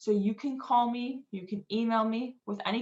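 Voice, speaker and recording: The woman's voice is somewhat breathy, and her pitch varies in an ordinary way. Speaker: financial aid presenter. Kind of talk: webinar presentation.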